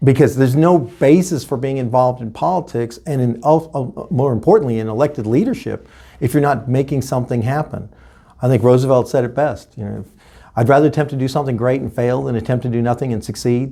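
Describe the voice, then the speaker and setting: Very fast speech comes from a man with an American accent and ordinary pitch variation. His tone is dark and mellow. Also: medium pitch for a man. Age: 60s. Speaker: political candidate. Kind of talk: interview.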